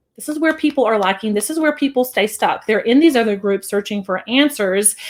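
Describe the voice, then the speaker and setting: Lively intonation marks this speech, which moves along at a fairly quick pace. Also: woman, fairly high pitch for a woman. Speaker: business coach. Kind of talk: live stream sales pitch. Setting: live video stream. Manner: fast.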